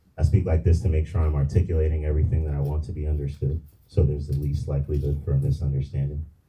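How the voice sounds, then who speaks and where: A man's very deep, low voice, somewhat breathy, with a dark, mellow tone, monotone, flat intonation and a very fast pace. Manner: careful, crisp articulation.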